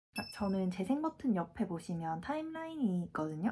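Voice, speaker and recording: At a moderate pace, the speaker's dark, mellow tone carries lively intonation and a somewhat breathy quality. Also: woman. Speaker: fitness vlogger. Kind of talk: casual vlog talk.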